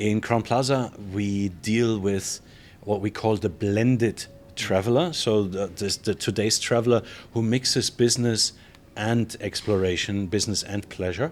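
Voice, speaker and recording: Speaking with a German accent, a man uses a fairly low pitch at a fairly slow pace. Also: ordinary pitch variation. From Germany. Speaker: hotel general manager. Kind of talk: interview. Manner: casual, with frequent fillers.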